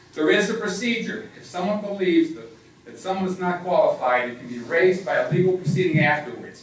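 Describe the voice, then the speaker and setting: A man talks fairly quickly in a high voice with ordinary pitch variation. Room echo is audible and background noise is noticeable. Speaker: committee member and attorney. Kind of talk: public meeting debate. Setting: public meeting with microphone. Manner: loud.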